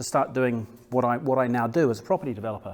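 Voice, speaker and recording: Someone talks at a very fast pace with a New Zealand accent. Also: man. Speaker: property developer. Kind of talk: business presentation. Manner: halting, many fillers and repeats.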